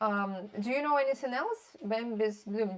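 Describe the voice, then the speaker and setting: A woman speaks in a fairly high pitch at a moderate pace, her pitch varying in an ordinary way as noticeable background noise plays behind her. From Russia. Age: 30s. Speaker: streamer. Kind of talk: casual chat. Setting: live stream. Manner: soft-spoken; halting.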